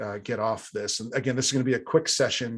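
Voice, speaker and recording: A man talks at a medium pitch, keeping his intonation fairly even. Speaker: tech industry analyst presenting funding trends. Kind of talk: live webinar presentation. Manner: hesitant, many fillers.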